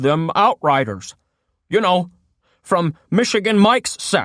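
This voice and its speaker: A put-on character voice at a middle pitch delivers its lines at a fairly slow pace. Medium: read story. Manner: suspicious, blunt.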